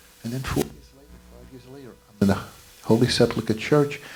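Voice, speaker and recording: A man talks at a moderate pace. Noticeable noise runs in the background. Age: 70s. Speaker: spiritual gathering participant. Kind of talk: testimony.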